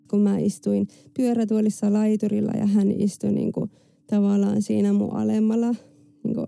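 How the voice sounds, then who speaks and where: A woman at a fairly slow pace, her loudness very even. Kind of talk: personal testimony. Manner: halting, many filler words.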